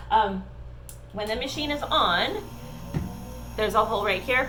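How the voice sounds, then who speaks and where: Noticeable background noise and audible room echo surround a woman's voice. She speaks at a moderate pace. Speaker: esthetician. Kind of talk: tutorial. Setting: facial room.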